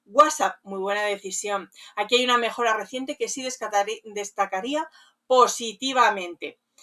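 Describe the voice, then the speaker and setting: Her voice fairly high and bright, sharp in tone, a woman speaks with ordinary pitch variation and big swings in loudness. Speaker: community manager specialized in rural lodging, radio host. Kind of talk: professional consulting review of a website, talking to camera.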